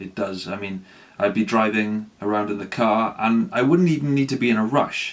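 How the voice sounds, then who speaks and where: Noticeable background noise under a man's fairly low voice with ordinary pitch variation. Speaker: ADHD vlogger. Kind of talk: personal vlog, unscripted. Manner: halting, struggles to get words out.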